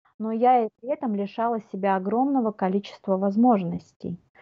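A normal speaking voice from a woman, fairly high in pitch, with ordinary pitch variation at a moderate pace. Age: 40s. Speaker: life coach. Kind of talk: casual chat.

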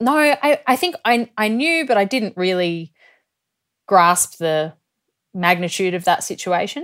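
A woman with an Australian accent speaks fairly slowly at a medium pitch, her voice swinging very widely in pitch and broken by long, frequent pauses, on a very clean recording with a silent background. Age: 30s. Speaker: professional ski cross athlete. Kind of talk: interview conversation.

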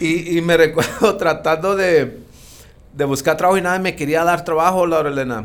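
A man talks in a high pitch that varies in an ordinary way. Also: moderate pace. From Mexicali, Mexico. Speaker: entrepreneur in real estate. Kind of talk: interview conversation. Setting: studio. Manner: halting with frequent repetitions.

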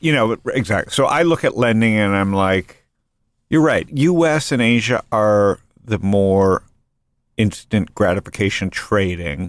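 A man talks at a fairly slow pace in a plain, everyday voice, fairly low in pitch, with lively intonation. The recording is very clean with a silent background. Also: very even loudness, dry, close sound with no echo. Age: 50s. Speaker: podcast host and venture investor. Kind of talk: casual interview chat.

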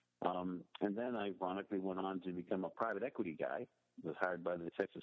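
The talking goes at a very fast pace. It comes in an American accent. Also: man. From Pittsburgh, Pennsylvania. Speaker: water sector investor. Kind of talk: interview.

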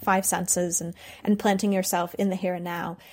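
On a very clean recording with a silent background, a woman with an ordinary speaking voice talks at a moderate pace and a medium pitch. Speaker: freelance journalist. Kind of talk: recorded contribution about PTSD and travel.

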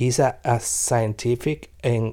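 With a Venezuelan accent, a man speaks at a very slow pace in a dark, mellow, medium-pitched voice on a very clean recording with a silent background. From Venezuela (Caracas), Italian parents. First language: Spanish. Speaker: singer-songwriter. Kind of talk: interview testimony. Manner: halting, repeating words.

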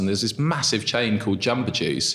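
There is music in the background. A man speaks at a medium pitch with ordinary pitch variation. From southeast England. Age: 30s. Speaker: restaurant co-founder. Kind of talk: interview conversation. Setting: small room with echo.

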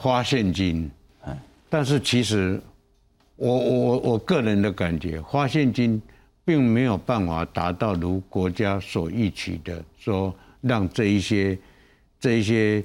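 Over music in the background, a man with a fairly low pitch speaks at a very slow pace with lively intonation. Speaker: night market association chairman and borough chief. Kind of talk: panel discussion.

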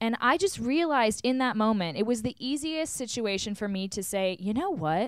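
A woman's plain, everyday voice, fairly high-pitched, with lively intonation at a moderate pace. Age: 20s. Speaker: podcast host and reality TV personality. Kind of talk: casual chat. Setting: video call from a hotel.

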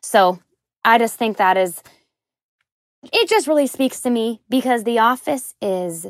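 Recorded very cleanly against a silent background, with a dry, close sound and no echo, a woman with an ordinary speaking voice and an American accent talks at a moderate pace with lively intonation. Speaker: caller. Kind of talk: casual chat.

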